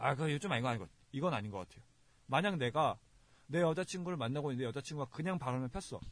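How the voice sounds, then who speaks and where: Somewhat breathy and very fast, a man talks at a fairly high pitch with lively intonation. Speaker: podcast host. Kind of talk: casual chat.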